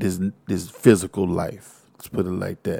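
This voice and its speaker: A man speaks with an American accent and a dark, mellow tone. The recording is very clean, and the background is silent. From Texas, Houston. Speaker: podcast host, hip-hop commentator. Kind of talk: casual monologue. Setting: studio, wearing headphones. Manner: animated.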